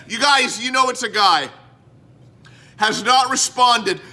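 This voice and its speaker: A man's raised, projected voice at an extremely high pitch, animated in tone and fairly slow in pace. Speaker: podcast host. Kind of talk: casual chat.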